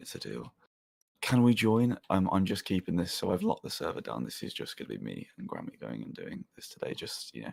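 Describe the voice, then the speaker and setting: A whispered voice at a fairly quick pace. Its loudness rises and falls sharply. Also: man. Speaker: gaming livestreamer. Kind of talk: casual livestream chat. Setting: livestream, no face cam. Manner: whispering; subdued, less energetic than usual.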